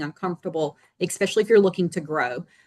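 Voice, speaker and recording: A woman's medium-pitched voice with a dark, mellow tone and ordinary pitch variation at a fairly quick pace, recorded dry and close with no echo. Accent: North Carolina. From North Carolina, small town in the Piedmont. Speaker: real estate agent. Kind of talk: panel discussion.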